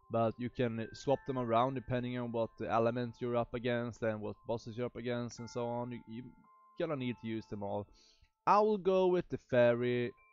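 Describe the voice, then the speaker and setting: Music plays behind a man with a Swedish accent, who speaks at a fairly quick pace. His pitch is medium, with ordinary variation. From Sweden. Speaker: gaming youtuber. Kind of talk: game tutorial. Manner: halting, many fillers.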